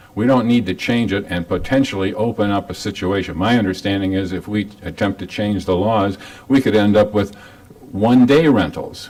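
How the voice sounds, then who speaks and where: With noticeable background noise, a man talks at a fairly low pitch and with ordinary pitch variation. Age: 80s+. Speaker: resident speaking at public comment. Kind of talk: public comment at council meeting. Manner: halting.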